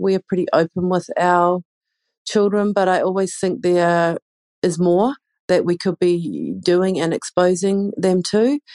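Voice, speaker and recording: Speaking with a New Zealand accent, a woman uses a medium pitch and fairly even intonation at a fairly slow pace, in a dry, close sound with no echo. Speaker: parent. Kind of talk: recorded listener question.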